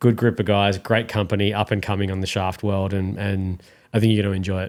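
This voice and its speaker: A man with an Australian accent, very fast and monotone, his intonation flat. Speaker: golf gear podcast co-host. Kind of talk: casual chat. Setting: studio.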